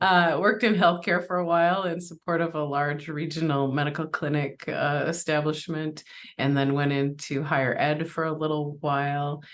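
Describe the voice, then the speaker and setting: With an American accent, a woman speaks at a moderate pace in a very deep, low pitch, using fairly even intonation and hardly any pauses. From Minnesota, US. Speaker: workplace safety executive. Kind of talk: podcast interview. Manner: halting, many fillers.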